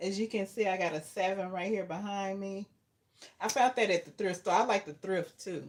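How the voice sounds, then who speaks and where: At a moderate pace, a woman talks at medium pitch with fairly even intonation. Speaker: livestreamer, herbal content creator. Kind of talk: casual live stream chat with viewers. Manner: halting, many fillers.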